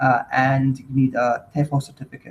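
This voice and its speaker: A man speaks with a fairly high pitch and a somewhat breathy quality. His intonation is fairly even. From Scotland, Stirling. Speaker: English teacher abroad. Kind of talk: casual chat. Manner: hesitant, many fillers.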